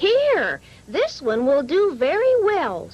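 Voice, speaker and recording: A put-on character voice from a woman, extremely high in pitch, with very wide pitch swings at a very slow pace. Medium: read story.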